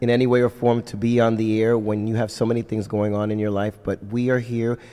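The speaker is a man with a medium pitch. He moves at a fairly quick pace. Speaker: radio co-host and MC. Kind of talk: casual radio chat.

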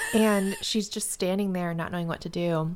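Over noticeable background noise, a woman speaks at a moderate pace. Her pitch is fairly low and her intonation monotone and flat. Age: 30s. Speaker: book podcast co-host. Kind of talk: casual chat.

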